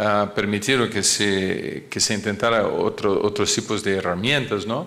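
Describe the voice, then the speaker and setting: A man with a Portuguese accent, amid noticeable background noise and audible room echo. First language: Portuguese (speaking Spanish). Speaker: cardiologist. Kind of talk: lecture. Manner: halting, many fillers and repetitions.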